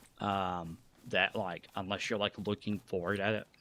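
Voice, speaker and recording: A man mumbles at a moderate pace in a fairly low voice. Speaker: gaming streamer. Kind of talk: live gameplay commentary. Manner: mumbling; halting.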